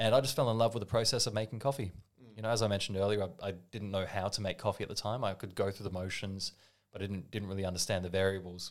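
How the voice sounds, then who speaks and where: With an Australian accent, a man with a fairly low pitch talks at a very fast pace in fairly even intonation, on a very clean recording with a silent background. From Australia, Melbourne. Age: 30s. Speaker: barista. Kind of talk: casual chat.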